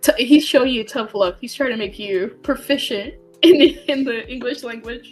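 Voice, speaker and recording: A woman's high voice with ordinary pitch variation and big swings in loudness, at a moderate pace over noticeable background noise. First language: Spanish. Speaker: podcast co-host. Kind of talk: casual chat.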